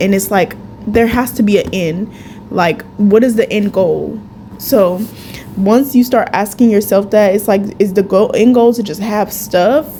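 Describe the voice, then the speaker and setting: Over noticeable background noise, a woman speaks slowly-ish at medium pitch, with ordinary pitch variation and a fairly slow pace. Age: 20s. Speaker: esthetician. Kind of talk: casual talk to camera. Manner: upbeat.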